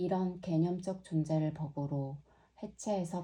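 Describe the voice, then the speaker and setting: Very slow and somewhat breathy, a woman speaks in a dark, mellow tone. Her intonation is fairly even. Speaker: yoga teacher. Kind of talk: reading aloud. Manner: clear.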